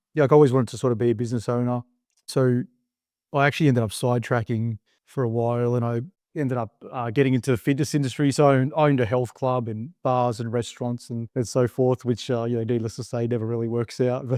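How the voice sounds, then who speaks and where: A man with an Australian accent, very fast delivery, and a dark, mellow tone, in a dry, close sound with no echo. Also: medium pitch for a man, fairly even intonation, quiet background. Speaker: business owner. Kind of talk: interview. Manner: casual, filler-heavy.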